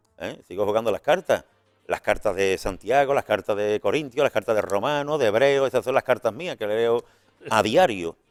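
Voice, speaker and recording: A man with a medium pitch, lively intonation, and an animated tone at a moderate pace, over music in the background with a dry, close sound and no echo. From Spain, Seville. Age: 60s. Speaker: retired evangelist and prison visitor. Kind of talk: interview testimony. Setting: radio and TV studio. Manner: animated, repetitive restarts.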